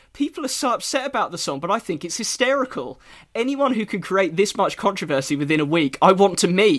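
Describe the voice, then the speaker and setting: A man with an English accent speaks at a high pitch, his voice swinging very widely in pitch. He moves at a fairly quick pace with hardly any pauses. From England. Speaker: podcast host. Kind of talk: casual chat.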